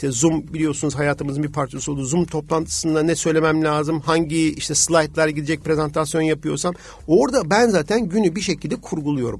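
A man with a fairly high voice talks at a fairly quick pace with hardly any pauses. His pitch varies in an ordinary way, and noticeable background noise is present. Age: 40s. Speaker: business executive and amateur triathlete. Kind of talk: radio interview.

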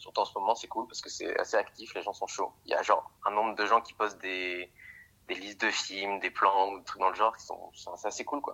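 A man's loudness rises and falls in big swings while he keeps a moderate pace. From Paris, France. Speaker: screenwriting student. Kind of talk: casual chat. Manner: animated. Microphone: phone with earphones.

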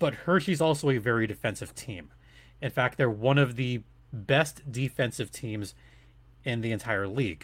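A man's somewhat breathy, medium-pitched voice in an animated, enthusiastic tone, with ordinary pitch variation and a moderate pace, on a very clean recording with a silent background. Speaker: arena announcer and podcast host. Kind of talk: casual interview chat.

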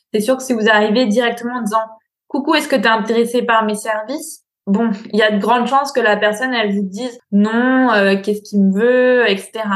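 Fairly high in pitch and fairly quick, a woman talks in an ordinary speaking voice with fairly even intonation. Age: 20s. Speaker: business coach. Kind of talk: interview.

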